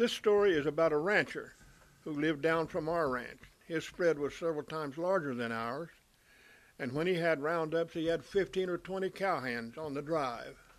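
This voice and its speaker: A man's fairly high-pitched voice with ordinary pitch variation, on a very clean recording with a silent background. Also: moderate pace. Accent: Texan. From US South, Texas Panhandle. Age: 70s. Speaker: storyteller. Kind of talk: first-person storytelling.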